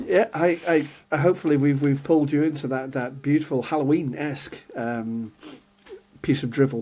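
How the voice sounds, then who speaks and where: With an English accent, a man speaks at a fairly high pitch in a dark, mellow tone with ordinary pitch variation. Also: moderate pace. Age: 60s. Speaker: podcast co-host. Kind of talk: casual chat.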